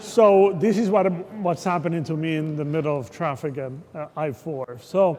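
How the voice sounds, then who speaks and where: A high-pitched man's voice with lively intonation. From Puerto Rico. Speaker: economist. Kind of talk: keynote talk. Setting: event venue with audience. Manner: hesitant, repeats words.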